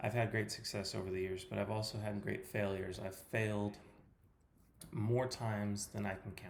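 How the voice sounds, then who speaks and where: The man's voice sits at a fairly low pitch, somewhat breathy, with monotone, flat intonation. He moves at a moderate pace, and audible room echo surrounds him. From California. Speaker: personal trainer. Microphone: poor sound quality.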